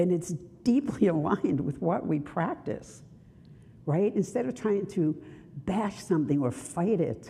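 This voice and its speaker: A woman with a Brooklyn accent speaks at a fairly slow pace in a fairly low pitch, her dark, mellow, somewhat breathy voice making very wide pitch swings between long, frequent pauses. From Brooklyn, New York. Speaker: minister. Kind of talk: sermon.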